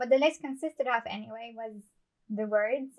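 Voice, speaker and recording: At a moderate pace, a woman with a non-native accent speaks at a fairly high pitch. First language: not English. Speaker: amateur writer and book channel host. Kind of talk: scripted monologue to camera.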